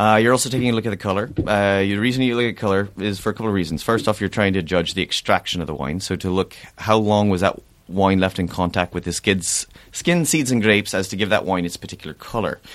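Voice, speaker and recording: Speaking at a very fast pace with an Irish accent, a man uses a fairly low pitch and ordinary pitch variation on a very clean recording with a silent background. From Ireland. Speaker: sommelier and restaurant owner. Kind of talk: casual chat with wine tasting. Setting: studio.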